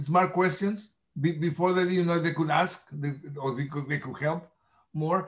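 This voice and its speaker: A man with a high-pitched voice and a Mexican accent. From Mexico. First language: Spanish. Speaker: nonprofit chamber president. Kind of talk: interview. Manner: halting, hesitant, repeats words.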